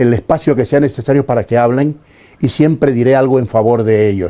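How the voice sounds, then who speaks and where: Dark and mellow, this man's voice sits at a medium pitch. Its pitch variation is ordinary. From Ecuador, Esmeraldas. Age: 70s. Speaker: retired teacher and sports commentator. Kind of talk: interview.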